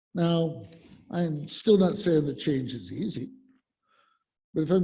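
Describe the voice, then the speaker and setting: This man has an American accent and a dark, mellow, somewhat breathy tone. He speaks at a moderate pace with ordinary pitch variation, and the room echo is audible. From Colorado. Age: 60s. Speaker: lay speaker at church service. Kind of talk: sermon. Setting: church, in person and on Zoom. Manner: halting, many fillers.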